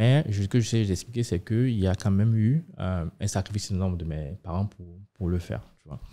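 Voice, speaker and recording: The voice has a dark, mellow tone and moves at a moderate pace, with ordinary pitch variation and big swings in loudness. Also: man, fairly low pitch for a man. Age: 30s. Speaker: fintech startup co-founder; podcast guest. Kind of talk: podcast interview. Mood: calm, reflective. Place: studio. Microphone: studio mic.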